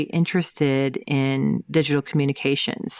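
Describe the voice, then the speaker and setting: In a Southern US accent, a woman speaks at a moderate pace with fairly even intonation, the sound dry and close with no echo. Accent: Southern-sounding US. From US Midwest, St. Louis, Missouri. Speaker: tech executive, chief innovation officer. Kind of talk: interview. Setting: podcast.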